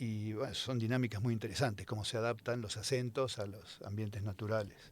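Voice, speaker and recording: A man's fairly low, monotone voice at a fairly quick pace, with flat intonation. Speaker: scientist. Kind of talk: casual chat. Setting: studio. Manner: hesitant, many fillers.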